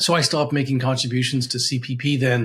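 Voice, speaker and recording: Flat and monotone, a man speaks at a fairly quick pace in a fairly high, somewhat breathy voice. The recording is very clean, with a silent background. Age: 60s. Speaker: financial advisor. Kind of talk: tutorial. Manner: halting.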